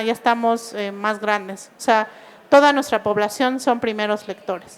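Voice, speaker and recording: The woman talks fairly slowly. Her intonation rises and falls in an ordinary way. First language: Mixe (speaking Spanish). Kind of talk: book presentation talk. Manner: hesitant, many fillers.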